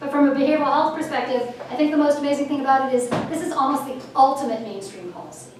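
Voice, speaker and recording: There is audible room echo and noticeable background noise as a woman speaks in a high pitch. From Canada. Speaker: health policy professor and dean. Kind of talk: lecture. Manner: fast.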